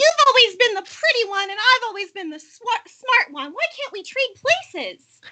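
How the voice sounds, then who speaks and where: A woman puts on a squeaky character voice at an extremely high pitch. She moves at a moderate pace with very wide pitch swings. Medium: stage play. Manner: hesitant.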